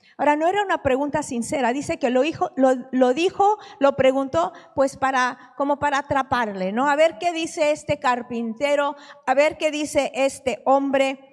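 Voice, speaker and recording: The woman's voice sits high in pitch. Noticeable background noise can be heard as well. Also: ordinary pitch variation, moderate pace. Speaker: preacher. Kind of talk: sermon.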